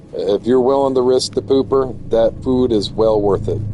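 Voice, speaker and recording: Music plays in the background. A man in an American accent talks at a fairly slow pace. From US, Florida. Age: 30s. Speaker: video game streamer. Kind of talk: casual gameplay livestream commentary. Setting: home livestream on PlayStation 5. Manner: casual, halting with fillers.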